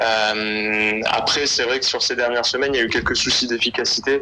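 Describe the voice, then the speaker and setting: Speech comes at a moderate pace in a monotone, flat intonation. Audible room echo and noticeable background noise fill the recording. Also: man. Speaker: sports correspondent. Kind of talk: phone interview. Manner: hesitant, many fillers.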